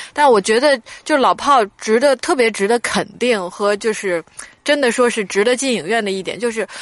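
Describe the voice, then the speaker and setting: Against noticeable background noise, a woman speaks at a high pitch and a moderate pace with very wide pitch swings. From northern China. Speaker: film critic podcast co-host. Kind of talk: casual chat film review.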